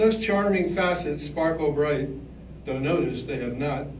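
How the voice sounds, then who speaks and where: There is audible room echo around a man's voice, along with noticeable background noise. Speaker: poet. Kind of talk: poetry reading. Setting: live reading before an audience. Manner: slightly mumbling.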